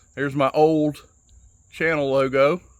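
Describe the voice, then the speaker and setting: Using a Southern US accent, a man speaks at a fairly slow pace. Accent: Southern twang. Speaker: knife enthusiast YouTuber. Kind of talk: casual show-and-tell tutorial. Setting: outdoors on back patio. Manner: casual, hesitant with many fillers.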